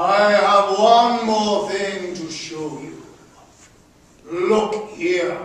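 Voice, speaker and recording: Putting on a character voice, a man speaks at a high pitch and a very slow pace, with strong echo around him. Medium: stage play. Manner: solemn, measured.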